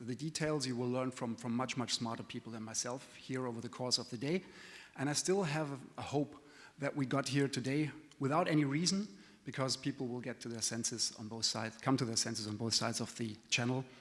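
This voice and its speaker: This man has a medium-pitched voice with ordinary pitch variation. He speaks with a non-native accent. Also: fairly quick pace. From continental Europe. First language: not English. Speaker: trade association executive. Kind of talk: conference presentation. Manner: hesitant, many fillers.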